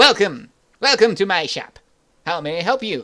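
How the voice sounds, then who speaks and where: Very wide pitch swings in a put-on character voice. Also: man, high pitch for a man, moderate pace. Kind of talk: greeting. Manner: mocking, put-on voice.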